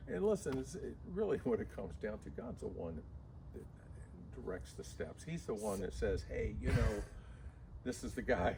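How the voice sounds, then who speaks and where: A man's moderately paced speech with audible room echo. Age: 70s. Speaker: locksmith. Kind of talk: casual chat.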